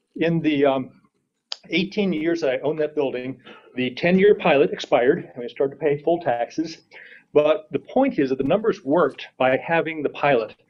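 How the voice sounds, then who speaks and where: The pace is moderate, with ordinary pitch variation. It is an unremarkable speaking voice. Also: man, fairly high pitch for a man. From New York State (Schenectady). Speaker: public commenter, business owner. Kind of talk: public hearing comment.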